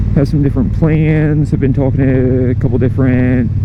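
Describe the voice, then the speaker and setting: A man at a moderate pace, medium-pitched and monotone with flat intonation, amid audible room echo and noticeable background noise. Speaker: motorcycle vlogger. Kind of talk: casual vlog talk while riding. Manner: loud.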